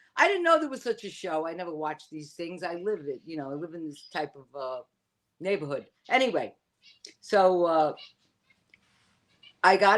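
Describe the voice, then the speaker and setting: Speaking in a Bronx accent at a moderate pace, a woman uses lively intonation. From New York, the Bronx. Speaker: witch and spiritual teacher. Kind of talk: casual interview chat.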